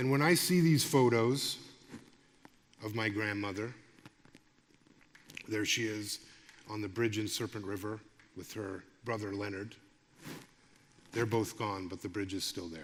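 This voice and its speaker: Heard with audible room echo, a man speaks fairly slowly at a fairly low pitch, with big swings in loudness and long, frequent pauses. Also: ordinary pitch variation. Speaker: lecturer and radio broadcaster. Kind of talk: public lecture. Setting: stage with audience.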